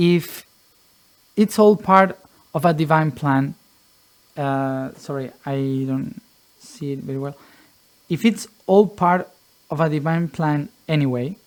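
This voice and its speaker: This man speaks at a very slow pace with long, frequent pauses. His pitch is fairly high for a man. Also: ordinary pitch variation. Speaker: spiritual teacher. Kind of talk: Q&A monologue. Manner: halting, many fillers and repetitions.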